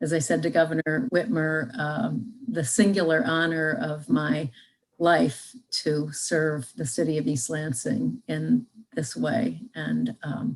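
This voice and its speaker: A woman speaks very slowly in a very deep, low, somewhat breathy voice. Her pitch swings very widely. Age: 60s. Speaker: retiring district court judge. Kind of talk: farewell speech. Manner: halting, many fillers.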